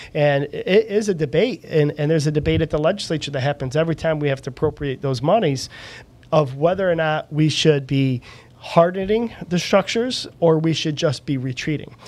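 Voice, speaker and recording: This man's voice, an ordinary speaking voice, sits fairly high and shows ordinary pitch variation. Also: fairly quick pace. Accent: American. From upstate New York (Auburn). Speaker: local politician. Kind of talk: interview.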